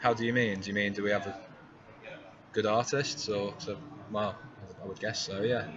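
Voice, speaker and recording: A man speaks with an East Midlands accent at fairly low pitch and a moderate pace. He leaves long, frequent pauses, and there is noticeable background noise. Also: fairly even intonation. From England, Derby (East Midlands). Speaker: Eurovision fan-site presenter. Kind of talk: live stream commentary. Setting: press center. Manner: monotone.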